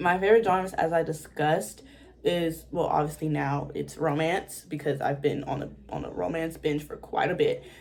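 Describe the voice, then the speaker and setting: A woman with an American accent has a plain, everyday voice, speaking at a moderate pace with ordinary pitch variation. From Washington, DC, USA. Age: young. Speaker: book YouTuber. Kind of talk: casual talk to camera.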